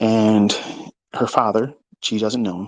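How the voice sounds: A man at a fairly low pitch, fairly even in intonation, at a fairly slow pace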